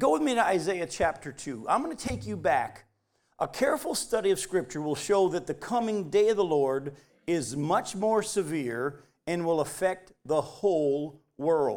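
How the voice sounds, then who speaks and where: Over a very clean recording with a silent background, a man speaks at a moderate pace in a high pitch, his animated tone riding very wide pitch swings. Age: 50s. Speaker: pastor. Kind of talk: sermon. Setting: church.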